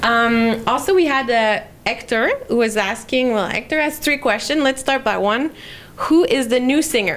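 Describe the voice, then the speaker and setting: A woman's high voice at a moderate pace, with ordinary pitch variation and long, frequent pauses. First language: French. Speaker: public relations manager hosting a live Q&A. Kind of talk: casual live interview. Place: meeting room. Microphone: handheld.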